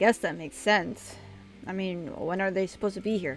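A put-on, whiny character voice that sounds female speaks at a middle pitch and a fairly quick pace over clear background noise. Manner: sarcastic, grumpy, whiny.

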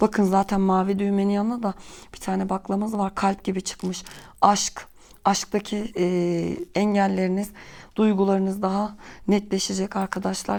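This woman's pitch is medium, her intonation is monotone and flat, and her pace is moderate. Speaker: tarot and bean fortune teller. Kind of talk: fortune-telling monologue to viewers. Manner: hesitant, many filler sounds.

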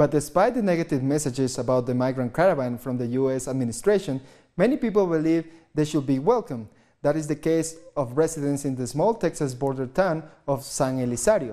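The man's fairly high voice carries a dark, mellow tone, with ordinary pitch variation and a fairly quick pace against a quiet background. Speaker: news anchor. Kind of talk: news reading. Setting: studio. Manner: formal. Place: studio. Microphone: lapel.

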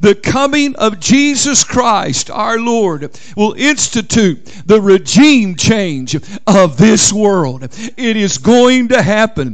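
The background stays quiet. A man talks very slowly. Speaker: minister preaching. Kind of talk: sermon. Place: church.

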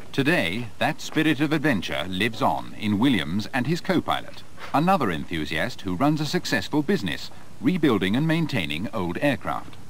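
A man talks at a medium pitch. His voice moves in very wide pitch swings. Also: moderate pace. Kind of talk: 1980s documentary promo narration. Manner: formal, measured, authoritative; polished, clear, scripted delivery.

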